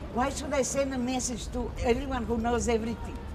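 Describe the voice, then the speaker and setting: Amid noticeable background noise and audible room echo, a woman with a fairly high pitch talks at a moderate pace. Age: 60s. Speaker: street demonstrator. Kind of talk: documentary interview.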